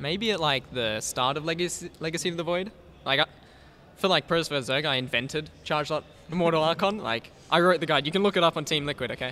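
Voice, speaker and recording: At a very fast pace, a man with an Australian accent talks at a fairly high pitch with ordinary pitch variation. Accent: mild Australian. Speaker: professional gamer. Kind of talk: casual interview.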